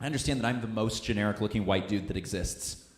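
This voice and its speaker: An animated, somewhat breathy man talks at a fairly quick pace amid audible room echo. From Missouri. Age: 20s. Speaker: comedian. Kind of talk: stand-up. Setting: stage with audience.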